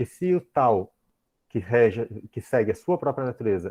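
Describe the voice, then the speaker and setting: A dark, mellow tone comes at a moderate pace, in a dry, close sound with no echo. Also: man. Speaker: professor. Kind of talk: lecture.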